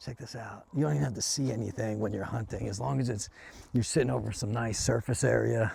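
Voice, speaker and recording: Talking at a fairly quick pace, a man uses lively intonation and some vocal fry. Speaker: business owner and hobby rancher vlogger. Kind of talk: casual vlog narration. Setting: outdoors. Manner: hushed, quiet.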